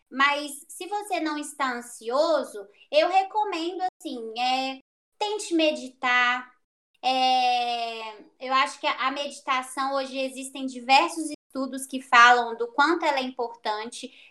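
Her voice is raised and projected, high-pitched, with a bright, sharp tone. The woman speaks at a very slow pace. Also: ordinary pitch variation. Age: 20s. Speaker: psychology student. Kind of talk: casual interview. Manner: halting.

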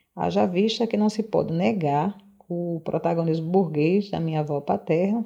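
A woman's fairly low voice with vocal fry and lively intonation. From Brazil, Rio Grande do Norte (coastal town near Natal). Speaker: nutritionist and social sciences graduate student. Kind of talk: personal testimony, largely read. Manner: formal.

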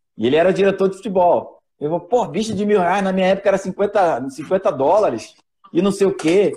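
A man's high-pitched, dark, mellow voice at a fairly quick pace, with ordinary pitch variation. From Rio de Janeiro, Brazil (Vila da Penha). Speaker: former professional footballer. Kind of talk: live podcast interview.

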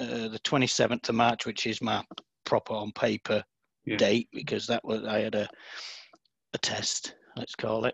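A man speaks with a Lincolnshire accent. The sound is dry and close, with no echo. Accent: northern English (Lincolnshire). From northern England, Scunthorpe. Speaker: author in recovery from alcohol. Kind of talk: casual interview chat.

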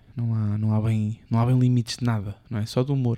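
A man with a European Portuguese accent speaks in a dark, mellow tone. His intonation is monotone and flat. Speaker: podcast co-host. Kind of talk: casual chat.

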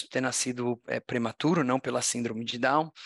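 In a very clean recording with a silent background, a man with an unremarkable speaking voice talks at a moderate pace with fairly even intonation. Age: 40s. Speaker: tech entrepreneur and social impact founder. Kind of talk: interview conversation.

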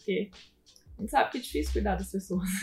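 A woman speaks with music in the background. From southern Minas Gerais, Brazil (Pouso Alegre). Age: 20s. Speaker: physical education teacher, gym co-owner. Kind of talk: live-stream interview. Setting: online live stream.

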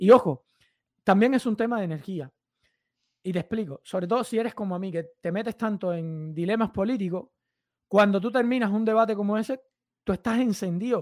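On a very clean recording with a silent background, a man talks fairly quickly with ordinary pitch variation, the sound dry and close with no echo. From Cuba. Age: 30s. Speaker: fitness YouTuber. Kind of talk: casual interview chat.

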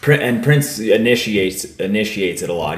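Noticeable background noise runs through the clip. Audible room echo is also present. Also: man. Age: 30s. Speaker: podcast host. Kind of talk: casual chat. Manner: animated.

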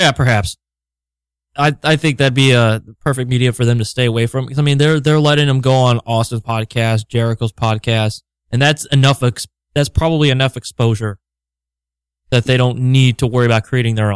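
A man in a normal speaking voice keeps a fairly quick pace, medium pitch, fairly even intonation and very even loudness, in a dry, close sound with no echo. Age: 30s. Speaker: wrestling podcast co-host. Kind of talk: casual chat.

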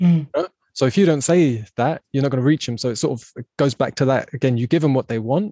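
In a dry, close sound with no echo, a man with an English accent speaks at medium pitch with a dark, mellow tone. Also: ordinary pitch variation, fairly quick pace. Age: 30s. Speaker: podcast host. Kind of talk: casual interview chat. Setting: video call.

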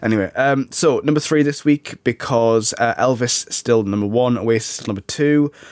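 Moderate pace, ordinary pitch variation and hardly any pauses over noticeable background noise. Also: man, medium pitch for a man. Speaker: podcast host. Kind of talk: casual chat. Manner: hoarse-sounding, congested.

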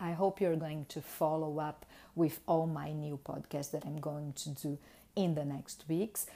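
Speaking with a Brazilian accent, the voice has a dark, mellow tone and a fairly slow pace. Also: woman. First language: Portuguese. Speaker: marketing consultant and podcaster. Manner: halting, with fillers.

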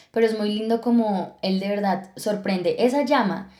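This woman has a dark, mellow tone and a fairly high pitch, with fairly even intonation. She speaks at a moderate pace amid audible room echo. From Colombia, Villeta (Cundinamarca). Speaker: podcast co-host. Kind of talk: casual chat. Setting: studio.

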